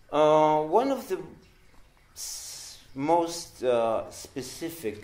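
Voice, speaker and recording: Someone with a non-native accent speaks in a space with audible room echo. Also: man. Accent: non-native English pronunciation. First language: Spanish. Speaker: psychoanalyst. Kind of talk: lecture. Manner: halting.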